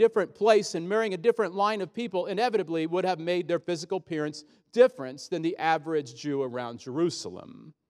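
At a fairly quick pace, a man with an American accent swings his pitch very widely. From US Midwest, small-town Illinois. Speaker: pastor. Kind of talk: sermon.

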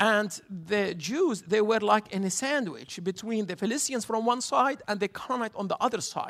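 A man with an Arabic accent and a high pitch, at a moderate pace with ordinary pitch variation and hardly any pauses. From Jerusalem. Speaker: tour guide. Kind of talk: guest sermon.

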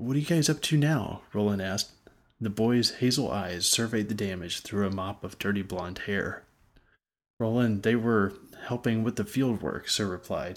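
Speaking at a fairly low pitch and a moderate pace with ordinary pitch variation, a man has an unremarkable speaking voice on a very clean recording with a silent background. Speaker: fantasy audiobook narrator and author. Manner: measured storyteller pacing, descriptive and vivid, with occasional stumbles and restarts; casual, informal sign-off with filler words.

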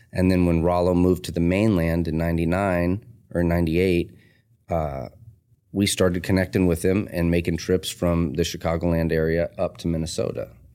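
Over a very clean, silent background, a man with a very deep, low voice talks at a fairly quick pace in a flat monotone, his loudness very even throughout. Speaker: tattoo artist and shop owner. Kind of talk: casual interview chat, life story. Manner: rough, casual language.

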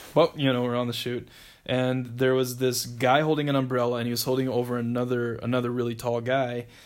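A man with an American accent at medium pitch, talking at a very fast pace with monotone, flat intonation. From US Midwest, South Dakota. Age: 40s. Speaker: navy veteran and traveler. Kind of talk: casual interview.

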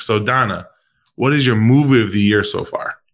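On a very clean recording with a silent background, a man with a medium pitch speaks in an animated tone at a moderate pace. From Chicago, US Midwest. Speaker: podcast host. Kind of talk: casual chat.

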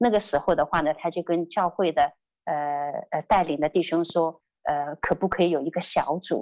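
Fairly quick speech from a woman at a medium pitch, dry and close with no echo, over a quiet background. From China, Shanghai. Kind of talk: testimony. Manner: halting, many fillers.

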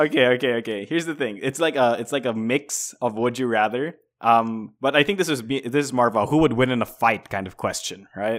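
On a very clean recording with a silent background, a man speaks in a normal speaking voice at medium pitch, fairly quick and with hardly any pauses, his pitch varying in an ordinary way. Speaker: podcast co-host and game critic. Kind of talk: casual chat.

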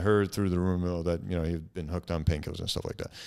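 A man's very deep, low voice comes through a very clean recording with a silent background. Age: 30s. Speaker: podcast host and comedian. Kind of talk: casual chat.

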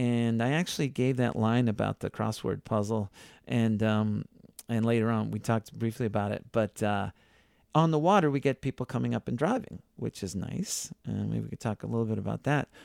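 A man with a Boston accent talks at a fairly quick pace. The sound is dry and close with no echo, on a very clean recording with a silent background. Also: medium pitch for a man, ordinary pitch variation. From Boston area, Massachusetts (Needham). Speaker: tour guide and driver. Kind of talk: interview.

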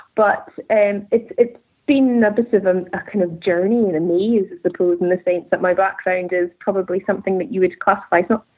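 A woman with a Scottish Highland accent, medium in pitch, fairly quick in pace and fairly even in intonation. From Scottish Highlands. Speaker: tartan designer and business owner. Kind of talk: interview conversation. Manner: hesitant, many fillers.

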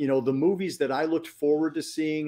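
The man's fairly high voice has a dark, mellow tone. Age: 50s. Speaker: horror film critic and author. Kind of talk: casual chat. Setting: live stream.

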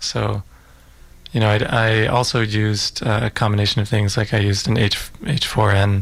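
A man's fairly low, monotone, flat voice with vocal fry and very even loudness. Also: moderate pace. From Utah, US. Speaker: filmmaker. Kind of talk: radio interview. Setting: radio studio. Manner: reflective, hesitant with fillers.

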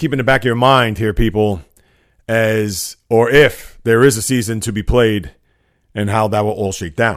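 A very clean recording with a silent background and ordinary variation in pitch. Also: man. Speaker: sports podcast host. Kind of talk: solo sports talk monologue. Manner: fast-paced, energetic.

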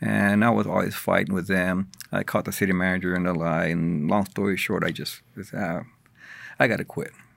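A man with a very deep, low pitch and vocal fry speaks at a fairly quick pace with ordinary pitch variation. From US South, San Antonio, Texas. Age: 50s. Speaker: radio producer and former wrestler. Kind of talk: casual chat.

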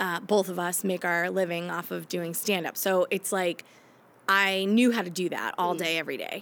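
A normal speaking voice from a woman, fairly low in pitch, at a moderate pace with fairly even intonation. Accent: American. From Maine, US. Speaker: comedian. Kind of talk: casual interview. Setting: improv theater.

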